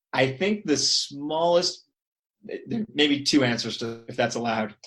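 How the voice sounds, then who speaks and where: A man with a fairly high voice talks at a moderate pace, his intonation lively. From Canada, Toronto. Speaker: periodontist. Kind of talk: casual interview chat.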